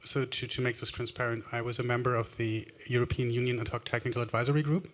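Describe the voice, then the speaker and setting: At a very fast pace, a man talks at medium pitch in a monotone, flat intonation. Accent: German. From Germany. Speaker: audience member asking question. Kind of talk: audience question and debate.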